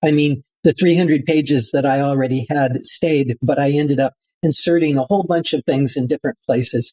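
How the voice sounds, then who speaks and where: A dark, mellow tone at a moderate pace, with fairly even intonation, in a dry, close sound with no echo. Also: man. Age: 70s. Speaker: building biologist and author. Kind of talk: interview. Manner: halting, many fillers.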